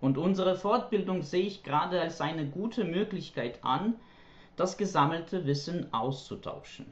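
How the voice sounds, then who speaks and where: This man's pitch sits high and moves with ordinary variation. He talks at a moderate pace. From Ukraine. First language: Ukrainian or Russian (speaking German). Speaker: German language teacher. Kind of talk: prepared monologue. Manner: formal.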